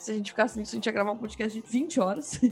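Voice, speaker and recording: A woman talks with a fairly high pitch and ordinary pitch variation while music plays behind her. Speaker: podcast host. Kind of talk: casual chat.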